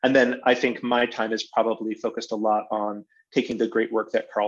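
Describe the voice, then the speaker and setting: A man with an American accent, medium pitch and a fairly quick pace, against a quiet background. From western Massachusetts. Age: 40s. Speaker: theater artistic director. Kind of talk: interview conversation. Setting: video call. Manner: halting with many fillers.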